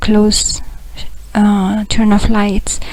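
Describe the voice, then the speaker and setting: Over noticeable background noise, a woman speaks quietly and very slowly in a fairly high, monotone voice with flat intonation. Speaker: spiritual blogger. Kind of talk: video diary update. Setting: monastery, laptop recording. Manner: quiet, hushed; halting, many fillers.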